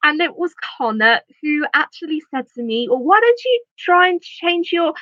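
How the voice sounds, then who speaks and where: A woman uses a raised, projected voice at an extremely high pitch, with very wide pitch swings and a bright, sharp tone. The sound is dry and close, with no echo. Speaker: YouTuber. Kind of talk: livestream chat. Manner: stuttering, halting.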